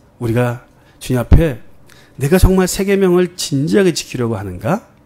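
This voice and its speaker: This man speaks at a moderate pace, his pitch swinging very widely. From Korea, Jeonju (Jeolla). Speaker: pastor. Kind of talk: sermon.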